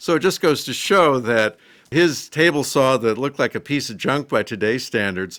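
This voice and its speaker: On a very clean recording with a silent background, a man with an American accent speaks in an unremarkable speaking voice, with lively intonation at a moderate pace. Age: 60s. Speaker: woodworking hobbyist YouTuber. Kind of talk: casual video talk. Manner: conversational with fillers.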